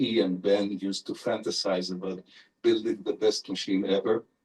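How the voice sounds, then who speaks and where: A man in an Israeli accent talks at a moderate pace. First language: Hebrew. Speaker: neurolinguist professor, invited lecturer. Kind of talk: Q&A answer after lecture.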